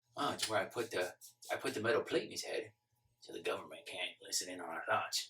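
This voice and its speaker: A man puts on a raspy character voice. He rattles along at a very fast pace. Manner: paranoid, conspiratorial.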